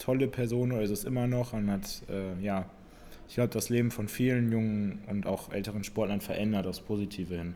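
A man's dark, mellow tone at medium pitch, fairly quick in pace, with fairly even intonation. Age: 20s. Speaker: fitness podcast co-host, CrossFit coach. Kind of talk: casual chat.

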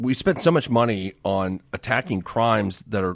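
The man's fairly low voice, a plain, everyday voice, shows ordinary pitch variation. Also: very clean recording, silent background. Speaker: co-host guest, lawyer. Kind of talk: casual chat.

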